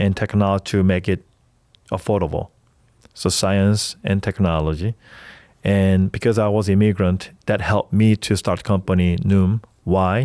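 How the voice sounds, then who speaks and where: A man with a Korean accent, fairly low in pitch, dark and mellow in tone, at a moderate pace with long, frequent pauses, very even loudness and fairly even intonation, in a dry, close sound with no echo on a very clean recording with a silent background. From South Korea (Seoul). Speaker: startup founder, health tech entrepreneur. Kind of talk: podcast interview. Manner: halting, with self-corrections.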